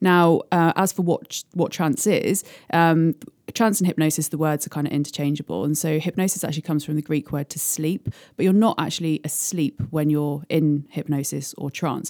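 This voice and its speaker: Very clean with a silent background, the recording captures a woman with a British accent speaking at a moderate pace in a very deep, low voice with ordinary pitch variation. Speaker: hypnotherapist. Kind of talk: interview explanation. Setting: studio.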